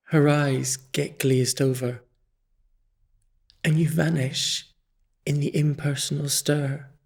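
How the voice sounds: A man's put-on character voice, fairly high in pitch with little pitch movement, a slightly husky edge and vocal fry, at a slow pace on a very clean recording with a silent background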